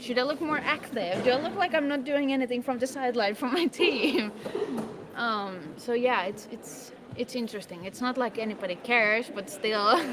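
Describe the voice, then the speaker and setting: Loud and high, a woman talks with lively intonation at a moderate pace. Noticeable background noise is present. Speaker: livestream co-host. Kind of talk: casual chat.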